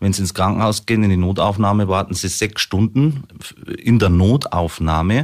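A man at fairly low pitch with ordinary pitch variation and a moderate pace, very clean recording, silent background. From Munich, Bavaria. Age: 40s. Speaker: local politician and business owner. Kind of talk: radio interview. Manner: hesitant, frequent fillers.

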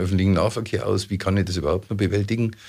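A man speaks in a fairly low pitch with fairly even intonation. His voice is somewhat breathy. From Munich, Bavaria. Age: 60s. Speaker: mayoral candidate. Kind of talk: radio interview. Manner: hesitant with fillers.

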